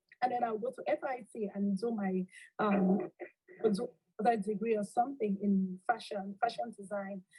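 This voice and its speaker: In a Cameroonian accent, a woman speaks at a moderate pace with a dark, mellow tone, the sound dry and close with no echo. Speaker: accountant and alumna. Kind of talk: interview.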